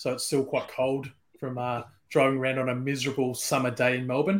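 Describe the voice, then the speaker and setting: Pitched at a medium level, a man speaks with an Australian accent. His intonation stays fairly even. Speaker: whisky brand ambassador. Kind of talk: casual chat.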